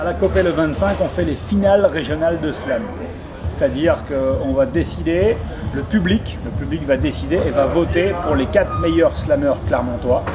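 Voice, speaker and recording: Noticeable background noise fills the recording. Through it, a man keeps a moderate pace. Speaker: slam master / event presenter. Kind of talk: interview answer promoting a slam event. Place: hall. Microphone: camera far.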